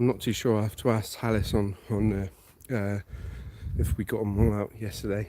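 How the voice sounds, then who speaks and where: Pausing long and often, a man with a West Country accent talks at a moderate pace in a fairly low pitch, his dark, mellow tone carrying fairly even intonation. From West Country England, Devon. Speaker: livestreamer at military archaeology dig. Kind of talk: live stream commentary. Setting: outdoors in a forest.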